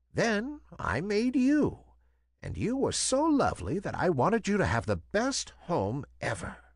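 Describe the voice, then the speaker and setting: A man puts on a character voice at a high pitch. He keeps a moderate pace over a quiet background. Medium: read story. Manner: gentle.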